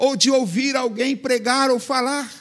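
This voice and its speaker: A man with an extremely high pitch and a bright, sharp tone speaks in a raised, projected voice. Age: 70s. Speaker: pastor. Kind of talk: sermon.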